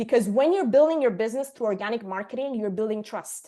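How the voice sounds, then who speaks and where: Lively intonation at a fairly quick pace. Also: woman. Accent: Italian. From Sicily, Italy. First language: Italian. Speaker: marketing agency owner, presenter. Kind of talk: online workshop presentation.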